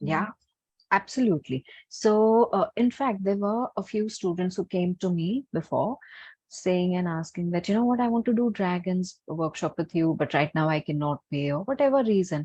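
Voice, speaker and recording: A soft-spoken woman with an Indian accent, medium pitch and a dark, mellow tone sounds somewhat breathy. The sound is dry and close with no echo, over a quiet background. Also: lively intonation, moderate pace. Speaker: healer and workshop teacher. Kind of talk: webinar Q&A and guided meditation intro. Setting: online webinar.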